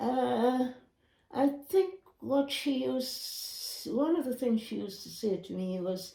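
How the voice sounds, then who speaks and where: Her voice dark, mellow and somewhat breathy, a woman speaks very slowly with lively intonation. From Grenada. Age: 80s+. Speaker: retired nurse. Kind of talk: interview answer. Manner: slow, reflective.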